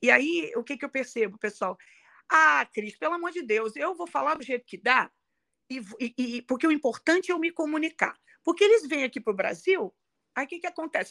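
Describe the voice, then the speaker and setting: A woman speaks in a raised, projected voice at a high pitch, with very wide pitch swings, big swings in loudness, a bright, sharp tone, a fairly quick pace broken by long, frequent pauses, and a dry, close sound with no echo. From Brazil, Rio de Janeiro. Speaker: English pronunciation coach. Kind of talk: interview.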